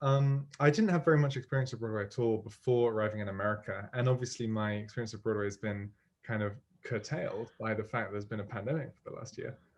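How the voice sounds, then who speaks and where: This speaker talks at a very fast pace in a British accent, somewhat breathy. Pitch variation is ordinary. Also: man, medium pitch for a man. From United Kingdom. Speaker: musical theatre writer. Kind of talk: interview. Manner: hesitant, many fillers.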